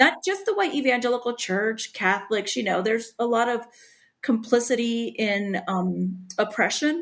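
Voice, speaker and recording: On a very clean recording with a silent background, a woman with a fairly high pitch speaks at a moderate pace with ordinary pitch variation. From Puerto Rican background, US. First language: Spanish. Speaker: author. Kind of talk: podcast interview.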